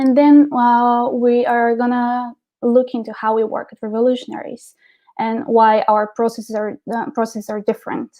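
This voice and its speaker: In a Bulgarian accent, a woman speaks at a high pitch and a moderate pace. Her intonation is monotone and flat. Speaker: marketing director. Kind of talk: presentation. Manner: hesitant, many fillers.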